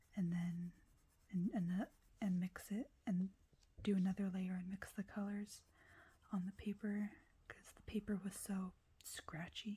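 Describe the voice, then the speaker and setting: Soft-spoken and somewhat breathy, a woman at a medium pitch speaks in a dark, mellow tone at a fairly slow pace, with fairly even intonation, big swings in loudness and long, frequent pauses. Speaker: ASMR creator. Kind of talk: ASMR coloring video, casual talk to camera.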